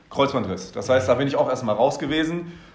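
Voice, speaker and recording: A man speaks in a fairly high pitch. Audible room echo surrounds his voice. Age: 20s. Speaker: business consultant. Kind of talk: casual chat.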